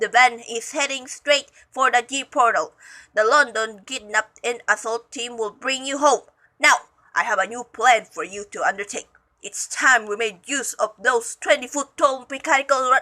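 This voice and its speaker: A woman puts on a character voice pitched high. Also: moderate pace. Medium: read story. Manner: menacing, domineering.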